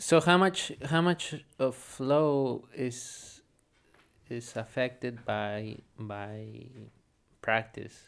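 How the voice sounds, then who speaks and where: A man speaks at a medium pitch with a Spanish accent. The recording is very clean, with a silent background. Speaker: podcast co-host. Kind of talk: casual chat. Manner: halting, repeats words.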